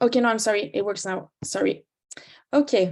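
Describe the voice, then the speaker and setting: In a French accent, a woman speaks at a fairly quick pace. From France. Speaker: climate campaigner. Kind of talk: presentation.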